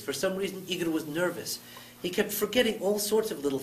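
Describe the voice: With ordinary pitch variation, the text is given a plain reading aloud.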